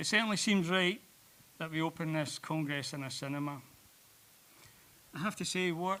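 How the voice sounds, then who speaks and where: A bright, sharp tone in a Glasgow accent, with ordinary pitch variation and long, frequent pauses. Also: man, fairly high pitch for a man, moderate pace. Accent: Scottish (Glasgow). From Scotland, Glasgow. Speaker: president of an art education society, opening speaker. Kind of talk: welcome speech. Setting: stage with audience in a cinema.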